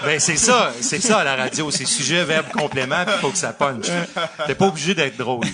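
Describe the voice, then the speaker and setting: A man with a fairly high pitch and lively intonation over noticeable background noise. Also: moderate pace. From Quebec. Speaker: radio hockey play-by-play announcer. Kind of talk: live podcast interview answer.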